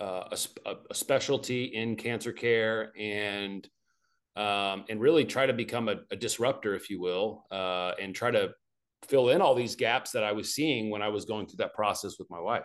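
An ordinary speaking voice with an American accent moves at a moderate pace with ordinary pitch variation. The background is quiet. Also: man. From Arkansas, US South. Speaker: naturopathic oncologist. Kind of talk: interview, medical explanation.

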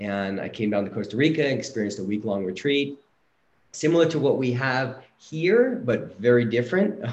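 With an ordinary speaking voice, a man speaks at a medium pitch. His intonation is lively and his pace is moderate. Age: 40s. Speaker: psychedelic retreat facilitator. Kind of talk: personal testimony.

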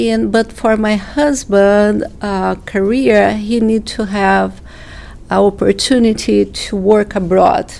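A woman speaks very slowly, with background noise clearly present. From Brazil. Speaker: nonprofit co-founder, immigrant advocate. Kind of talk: casual interview. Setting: studio.

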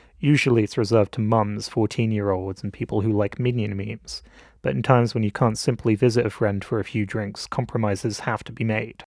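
On a very clean recording with a silent background, a man with an English accent speaks fairly quickly at a fairly low pitch with fairly even intonation. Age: 20s. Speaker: film student and podcast host. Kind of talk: scripted narration.

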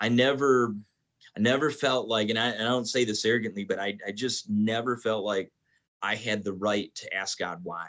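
A man with an American accent in a normal speaking voice, medium pitch, fairly even intonation and a moderate pace, over a quiet background. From Michigan (Detroit). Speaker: pastor. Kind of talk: casual chat.

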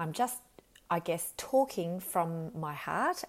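On a very clean recording with a silent background, a woman with an Australian accent speaks at a medium pitch with lively intonation. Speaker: leadership coach and psychologist. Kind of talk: solo podcast monologue. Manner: unscripted, with fillers.

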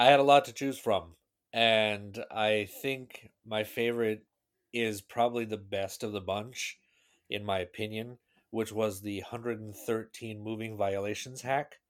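In an unremarkable speaking voice, a man speaks at a fairly slow pace with fairly low pitch and fairly even intonation, on a very clean recording with a silent background. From US Pacific Northwest, Seattle. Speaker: podcast guest, tech nerd. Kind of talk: casual chat.

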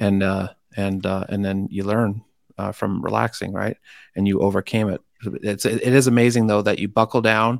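With a dry, close sound and no echo, a man speaks in an American accent. His intonation is fairly even. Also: moderate pace, very clean recording, silent background. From Washington, D.C. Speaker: podcast host. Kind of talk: interview. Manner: hesitant, many fillers.

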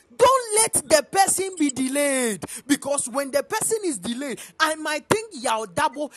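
Fairly slow speech with music in the background. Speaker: preacher. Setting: church.

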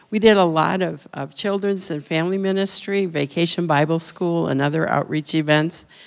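An ordinary speaking voice with an American accent at a moderate pace and fairly even intonation, on a very clean recording with a silent background. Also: woman, fairly low pitch for a woman. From Minnesota. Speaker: retiring missionary. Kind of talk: missionary report. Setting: church.

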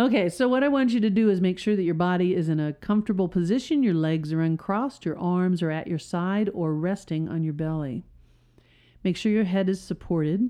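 Lively in intonation, a woman with a plain, everyday voice speaks at a medium pitch. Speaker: hypnotist and podcast host. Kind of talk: guided hypnosis session. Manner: slow, soothing, repetitive; calm, hushed, hypnotic.

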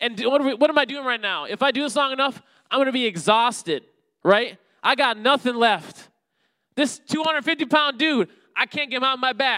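A man's extremely high, bright, sharp voice is raised and projected in an animated tone. He keeps a moderate pace with ordinary pitch variation in a very clean recording with a silent background. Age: 30s. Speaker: preacher. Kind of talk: sermon.

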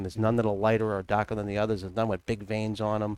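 The recording is dry and close with no echo, capturing a man with a fairly low-pitched voice. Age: 50s. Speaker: cigar company representative. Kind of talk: casual chat. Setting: studio.

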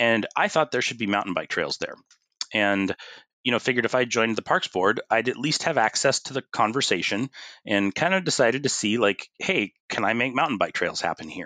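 A man with a Pacific Northwest accent talks at a fairly quick pace, his medium-pitched voice bright and sharp with lively intonation. The sound is dry and close with no echo, over a quiet background. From US Pacific Northwest, Bothell, Washington. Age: 40s. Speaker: city councilor. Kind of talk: interview conversation.

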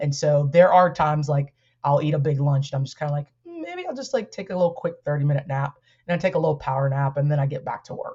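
Very fast and somewhat breathy, the voice keeps a fairly even intonation. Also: woman, very deep, low pitch for a woman. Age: 40s. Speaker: educator and activist. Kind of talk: casual interview chat.

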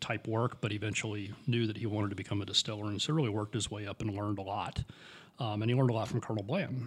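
A man talks at a very fast pace, his voice fairly low and somewhat breathy. The recording is very clean, with a silent background. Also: fairly even intonation. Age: 50s. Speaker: podcast co-host, bourbon enthusiast. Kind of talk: casual chat.

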